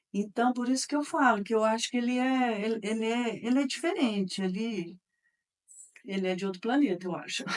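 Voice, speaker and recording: This is a woman with a normal speaking voice. Her pitch sits fairly high, with ordinary pitch variation. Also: fairly quick pace. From Minas Gerais, Brazil (Campo Florido / Uberaba). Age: 60s. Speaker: interviewee, daughter of local politician. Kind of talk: interview testimony.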